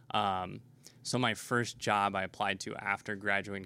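A man with an American accent speaks at a fairly slow pace in a fairly low pitch with monotone, flat intonation. His tone is bright and sharp, in a very clean recording with a silent background. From Nebraska. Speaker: game store owner. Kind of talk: interview. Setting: in a game store.

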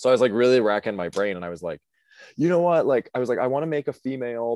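A man with an American accent speaks at a very fast pace with lively intonation, the sound dry and close with no echo over a quiet background. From US Midwest, Cleveland area, Ohio. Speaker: drag queen. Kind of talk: casual chat.

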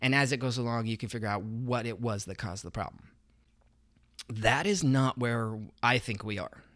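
On a very clean recording with a silent background, a man with an American accent and medium pitch speaks at a moderate pace, with ordinary pitch variation and long, frequent pauses. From Idaho, US. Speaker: podcast host. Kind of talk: personal monologue.

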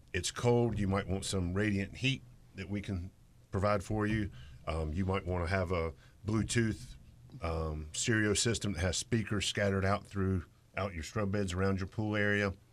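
A man with a plain, everyday voice speaks at a fairly low pitch and moderate pace with fairly even intonation on a very clean recording with a silent background. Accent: American. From Greensboro, North Carolina. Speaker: landscaper and hardscape contractor. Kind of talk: casual radio interview. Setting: radio studio.

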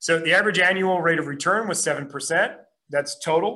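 The man's tone is bright and sharp. His intonation stays fairly even. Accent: American. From US Midwest, Minneapolis. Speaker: real estate investor. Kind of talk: webinar presentation.

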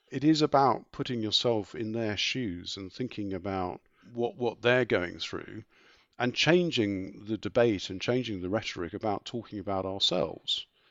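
With a southern English accent, a man speaks at a moderate pace, his fairly low pitch varying in an ordinary way. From southeast England. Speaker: insurance executive. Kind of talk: interview.

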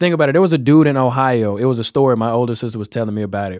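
This man talks with a slight Virginian accent. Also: very clean recording, silent background. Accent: slight Virginian accent, Southern. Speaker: rapper. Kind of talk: casual interview chat.

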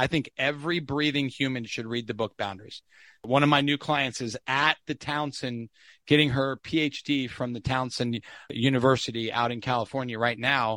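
A man's bright, sharp voice at medium pitch and moderate pace, dry and close with no echo, on a very clean recording with a silent background. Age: 50s. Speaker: podcast host interviewing guests. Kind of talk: interview conversation. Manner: animated.

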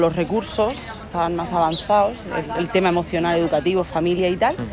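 In a Valencian accent, a woman speaks at a moderate pace and a fairly low pitch. The room echo is audible, and there is noticeable background noise. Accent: Alicante. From Spain, Alicante (Torrevieja). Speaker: psychologist. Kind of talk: interview conversation.

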